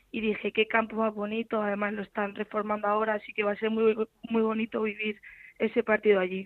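A woman is speaking. Her pace is fairly quick. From Albacete, Spain. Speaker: footballer. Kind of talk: interview.

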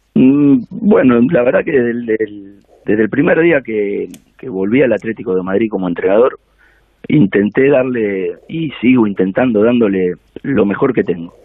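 This man talks at a fairly slow pace with lively intonation, medium pitch and an ordinary speaking voice. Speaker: football coach. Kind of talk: interview.

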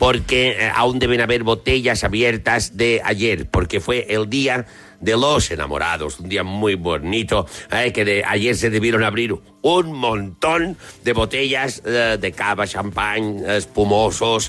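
Very slowly, a man speaks at a medium pitch. His tone is bright and sharp, with ordinary pitch variation. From Mallorca. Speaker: comedian. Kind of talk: casual chat. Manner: animated.

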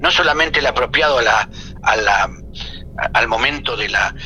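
Music in the background accompanies talking at a moderate pace. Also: man. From Latin America. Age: 50s. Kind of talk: interview.

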